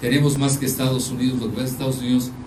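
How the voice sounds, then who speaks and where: A man with a medium pitch is heard through audible room echo and noticeable background noise. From Mexico. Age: 70s. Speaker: geopolitical analyst. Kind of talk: lecture. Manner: conversational, addresses audience directly.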